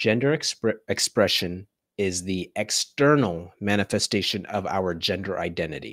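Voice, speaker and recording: The recording of this man's fairly low voice has a dry, close sound with no echo. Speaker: podcast host. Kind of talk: casual discussion of a book. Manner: excited, animated; slow, deliberate when explaining.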